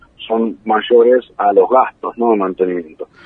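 A man talks at a moderate pace with medium pitch. He has an ordinary speaking voice. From Buenos Aires, Argentina (San Isidro). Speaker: truffle grower, entrepreneur. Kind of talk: radio interview.

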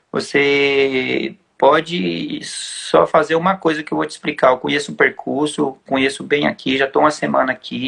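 The man keeps talking at a moderate speed, with hardly any pauses. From Brazil, São Paulo. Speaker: trail runner, former champion. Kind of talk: casual chat. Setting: live stream.

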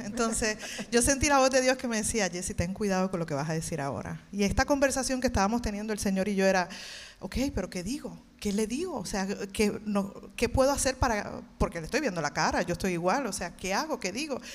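In a very clean recording with a silent background, a woman speaks at a fairly quick pace and medium pitch with lively intonation. She has an ordinary speaking voice. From Puerto Rico, Levittown. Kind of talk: testimony. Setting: church stage with audience.

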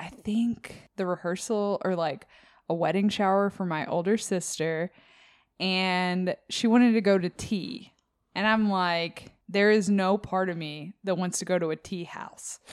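A normal speaking voice from a woman, medium pitch, fairly slow pace, fairly even intonation, very clean recording with a silent background. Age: 30s. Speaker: book podcast co-host. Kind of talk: casual chat.

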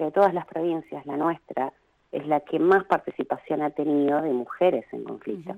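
Her pitch very deep and low with ordinary variation, a woman speaks at a moderate pace. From Argentina, Río Gallegos (Patagonia). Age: 30s. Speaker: artist and photographer. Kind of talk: interview.

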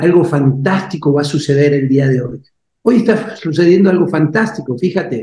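Here a man speaks with a fairly high pitch and lively intonation. His tone is dark and mellow. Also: moderate pace. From Argentina. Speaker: life coach and speaker. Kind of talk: interview testimony. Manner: animated.

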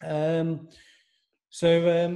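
Pitched high, a man speaks in a dark, mellow tone. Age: 30s. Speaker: physiotherapist. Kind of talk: educational interview.

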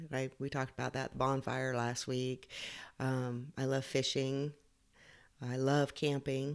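Her pitch very deep and low, a woman speaks in a flat monotone at a fairly slow pace, with long, frequent pauses. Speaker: podcast host giving personal advice. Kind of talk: casual solo monologue. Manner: halting, many fillers.

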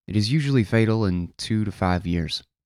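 A man in a normal speaking voice talks at a moderate pace and fairly low pitch with ordinary pitch variation, on a very clean recording with a silent background. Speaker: podcast host reading articles aloud. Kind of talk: reading aloud a written post.

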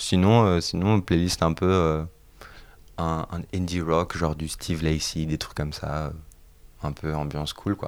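A man speaks with a very deep, low pitch at a fairly slow pace. His intonation stays fairly even, broken by long, frequent pauses. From France, Bordeaux. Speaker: singer-songwriter. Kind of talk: casual interview. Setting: friends' home. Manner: halting, many repetitions.

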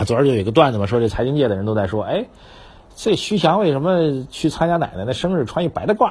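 This man's pitch is fairly high and swings very widely. He talks at a very fast pace. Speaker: financial commentator. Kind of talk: casual market commentary. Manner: conversational, many filler particles.

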